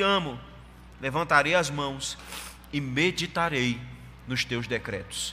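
Lively intonation from a man at a very slow pace. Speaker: pastor. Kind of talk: sermon.

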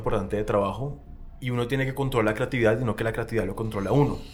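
This is a man at medium pitch. His pitch variation is ordinary. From Colombia, Barranquilla. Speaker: film director and actor. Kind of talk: casual chat.

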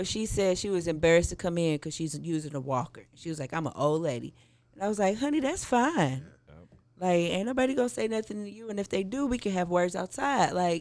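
Words come at a very fast pace in an American accent, with hardly any pauses. The recording is very clean, with a silent background. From St. Louis, Missouri. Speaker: cannabis community organizer. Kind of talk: casual chat.

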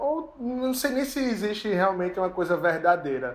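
A man's pitch varies in an ordinary way while he keeps to a moderate pace. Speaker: podcast owner and co-host. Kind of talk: casual chat.

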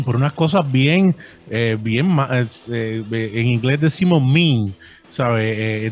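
A man's medium-pitched voice at a very slow pace, with ordinary pitch variation and noticeable background noise. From Brooklyn, New York (born in Puerto Rico). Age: 40s. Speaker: podcaster. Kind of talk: casual chat. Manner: halting, frequent fillers.

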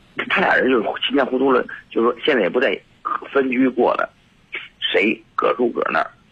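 A man at a fairly quick pace, with long, frequent pauses, very even loudness and noticeable background noise. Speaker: caller. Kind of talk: phone call-in. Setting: phone call. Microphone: voice drifting, not facing the phone.

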